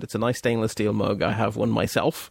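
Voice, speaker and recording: Very fast speech from a man of medium pitch with vocal fry, dry and close with no echo. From Belgium. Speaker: podcast host. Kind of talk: casual chat.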